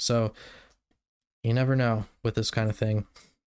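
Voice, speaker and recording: In a very clean recording with a silent background, a man mumbles. His medium-pitched voice has a monotone, flat intonation. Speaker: YouTuber. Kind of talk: casual monologue. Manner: mumbling, words run together.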